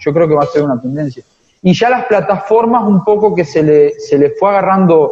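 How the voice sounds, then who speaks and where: Ordinary pitch variation in a man's high voice. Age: 20s. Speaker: veterinary student on exchange. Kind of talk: interview.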